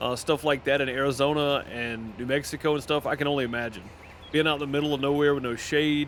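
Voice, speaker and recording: A man with a Southern US accent and a fairly high pitch, talking at a fairly quick pace in a monotone, flat way over noticeable background noise. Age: 30s. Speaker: gaming streamer. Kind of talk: casual chat. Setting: live stream. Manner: halting.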